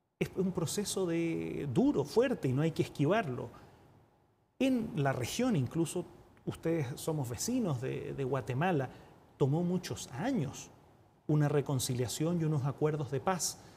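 Over light background noise, a man with a Chilean accent speaks at a fairly slow pace in a dark, mellow tone, with fairly high pitch for a man and lively intonation. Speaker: UN diplomat and economist; guest. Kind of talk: TV interview. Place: studio. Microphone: lapel.

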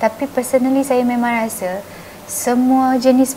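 A woman speaks in a gentle tone over light background noise. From Malaysia. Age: 30s. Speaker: state assembly member; interviewee. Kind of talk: interview.

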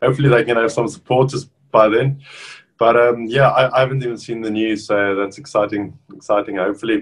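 With a South African accent, a man talks at a fairly quick pace. His intonation is fairly even against a quiet background. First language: Afrikaans. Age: 30s. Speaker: professional rugby player; guest. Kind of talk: casual interview. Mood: cheerful, relaxed. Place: home room. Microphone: video call.

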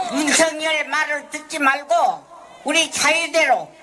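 A woman in a raised, projected voice speaks very slowly at a high pitch with monotone, flat intonation, over light background noise. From Korea. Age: 80s+. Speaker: forced labour victim and activist. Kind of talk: protest speech and interview answers. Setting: outdoors. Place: street. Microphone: handheld.

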